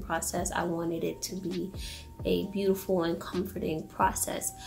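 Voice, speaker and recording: Audible room echo and noticeable background noise surround a woman's voice. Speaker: vlogger. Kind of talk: casual vlog Q&A. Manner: whispering, quiet; hesitant, many fillers.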